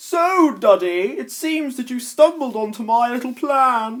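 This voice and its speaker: A man speaks in a put-on character voice, pitched extremely high for a man. He takes a fairly slow pace. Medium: read story. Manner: smug, taunting.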